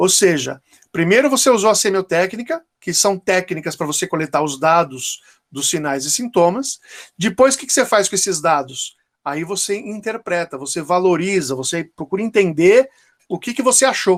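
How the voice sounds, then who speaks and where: In a dry, close sound with no echo, a man with a high pitch speaks at a moderate pace using lively intonation. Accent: Brazilian. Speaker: dentistry professor. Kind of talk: lecture. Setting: online class.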